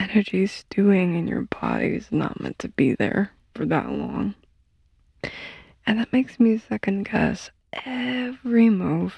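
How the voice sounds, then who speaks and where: Whispering softly at a fairly slow pace, a woman leaves long, frequent pauses, her sound dry and close with no echo. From Poland. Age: 20s. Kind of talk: ASMR sleep ramble. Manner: whispered, soft-spoken.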